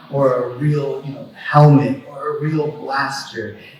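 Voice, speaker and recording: This man's pitch sits fairly high. Audible room echo and noticeable background noise surround his voice. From Mexico. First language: Spanish. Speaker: attorney and collector. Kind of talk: panel talk. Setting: convention stage with audience. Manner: halting, many repetitions.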